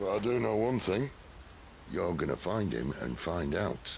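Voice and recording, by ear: A man's put-on character voice, low in pitch with vocal fry, big pitch swings and a fairly slow pace.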